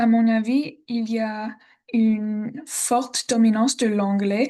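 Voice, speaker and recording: At a very slow pace, a woman with an American accent speaks in a dark, mellow tone with a fairly high pitch and fairly even intonation over a quiet background. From Texas, Austin. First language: English (speaking French). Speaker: language student. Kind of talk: class presentation. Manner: halting, many hesitations.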